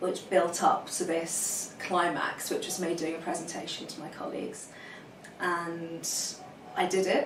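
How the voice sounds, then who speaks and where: A woman with a fairly low voice is heard amid audible room echo and noticeable background noise. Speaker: intelligence analyst. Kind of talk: testimony. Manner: stammering; halting.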